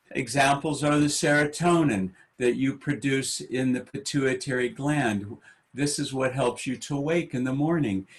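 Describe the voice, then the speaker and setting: At a fairly slow pace, a man talks in a somewhat breathy voice pitched fairly high. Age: 60s. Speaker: meditation teacher. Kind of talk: panel talk. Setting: webinar.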